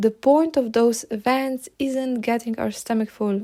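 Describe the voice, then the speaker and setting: Speaking very slowly in a Slovenian accent, a woman has a fairly high pitch and a dark, mellow tone. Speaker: podcast host. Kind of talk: podcast monologue.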